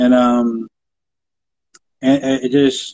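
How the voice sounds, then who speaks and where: The man's voice sits at a medium pitch. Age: 30s. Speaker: interviewer and rapper. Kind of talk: casual interview chat. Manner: halting, heavy repetition and fillers.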